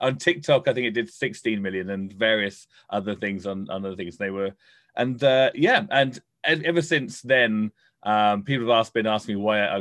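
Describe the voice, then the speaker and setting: His pitch is fairly low and his intonation lively. This man talks at a fairly quick pace. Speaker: stand-up comedian. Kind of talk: casual interview chat. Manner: earnest, advice-giving, somewhat halting.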